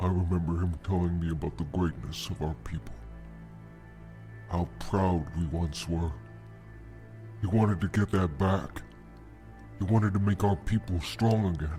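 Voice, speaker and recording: A man's put-on character voice, very deep and low, at a moderate pace with long, frequent pauses and clear music in the background. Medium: audio drama. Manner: earnest, troubled.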